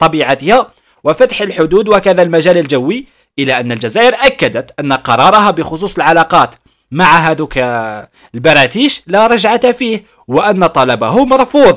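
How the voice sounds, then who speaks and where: With an Algerian accent, a man with a high pitch talks at a moderate pace, his voice making very wide pitch swings. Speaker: YouTube news commentator. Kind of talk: commentary while reading a news article. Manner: animated.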